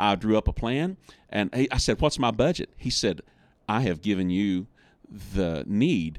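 A man speaks at a fairly slow pace with an American accent, his pitch fairly low and a normal speaking voice. The recording is very clean, with a silent background. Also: lively intonation. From West Virginia. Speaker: church audio consultant and business owner. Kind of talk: podcast interview.

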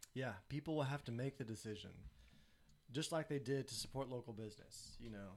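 A man at medium pitch with a Southern US accent, fairly quick pace, and a very clean recording over a silent background. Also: ordinary pitch variation. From Tennessee. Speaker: photographer. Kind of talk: casual chat.

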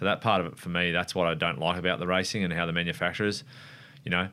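Over a very clean recording with a silent background, a man with an Australian accent speaks very fast in a very deep, low pitch and a bright, sharp tone. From Australia, Wollongong NSW. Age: 30s. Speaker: motorcycle racer. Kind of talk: casual interview.

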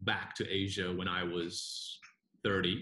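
Speaking at a very slow pace, a man has a bright, sharp tone. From Singapore and New Zealand. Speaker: marketing executive at a car dealership. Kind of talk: casual interview chat.

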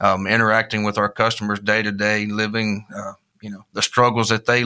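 A man with a Southern US accent talks at a fairly quick pace in a fairly low voice with a bright, sharp tone, in a very clean recording with a silent background. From Mississippi. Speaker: agricultural brand manager. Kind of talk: interview.

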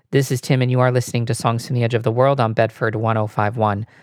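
On a very clean recording with a silent background and a dry, close sound with no echo, a man with an unremarkable speaking voice talks at a medium pitch and a fairly quick pace. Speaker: radio host. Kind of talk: radio announcer patter between songs, back-announcing tracks and promoting the show. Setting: radio station broadcast. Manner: smooth, even, brisk announcer delivery.

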